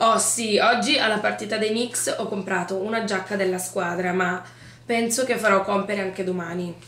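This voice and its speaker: Over noticeable background noise, a woman speaks at a moderate pace with a medium pitch and fairly even intonation. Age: 20s. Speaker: event and location manager. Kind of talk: interview.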